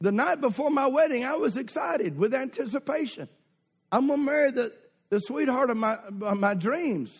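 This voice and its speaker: Lively intonation and very even loudness mark this voice with a Southern US accent. The recording is very clean and the background silent. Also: man, extremely high pitch for a man, moderate pace. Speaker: visiting preacher. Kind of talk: sermon. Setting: church with congregation. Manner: humorous, exhorting the congregation.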